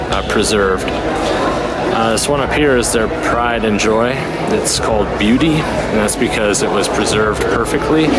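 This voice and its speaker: A speaker at a moderate pace with ordinary pitch variation and very even loudness, recorded with noticeable background noise and audible room echo. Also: man, medium pitch for a man. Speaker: travel vlogger. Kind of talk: on-location vlog commentary. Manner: hesitant, with fillers.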